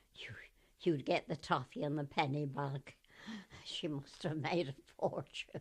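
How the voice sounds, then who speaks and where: In a Gloucestershire accent, a woman with a very deep, low pitch speaks at a fairly slow pace, with ordinary pitch variation, big swings in loudness and long, frequent pauses. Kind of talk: oral history interview answer. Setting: radio interview recording.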